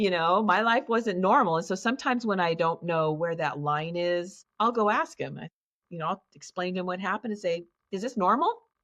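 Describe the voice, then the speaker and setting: A woman with a plain, everyday voice speaks at a fairly low pitch with lively intonation. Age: 60s. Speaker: childhood abuse survivor and trauma healing facilitator. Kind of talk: interview, personal testimony.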